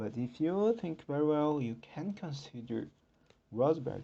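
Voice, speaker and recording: Lively intonation and a dark, mellow tone from a man with a non-native accent, fairly high in pitch, at a moderate pace. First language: not English. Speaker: podcast host. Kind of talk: solo podcast talk. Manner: halting.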